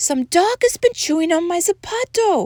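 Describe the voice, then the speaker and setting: A woman speaks at a moderate pace in a put-on, squeaky character voice pitched extremely high, recorded dry and close with no echo. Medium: read story. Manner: casual, saying dude.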